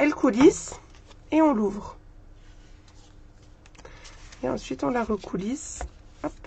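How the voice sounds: Using a put-on character voice, a woman speaks hoarsely at a high pitch with lively intonation, a moderate pace and long, frequent pauses.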